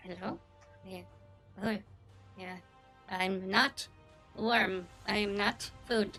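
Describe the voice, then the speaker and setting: In a put-on character voice at a middle pitch, the speaker goes very slowly with long, frequent pauses while faint music plays behind. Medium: actual play. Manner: short broken phrases, simple-minded.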